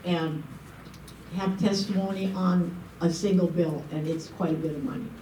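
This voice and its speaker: Amid noticeable background noise and audible room echo, a woman speaks at a medium pitch and a fairly slow pace. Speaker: civic volunteer and forum moderator. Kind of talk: public forum welcome speech. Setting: meeting room with live audience. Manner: loud.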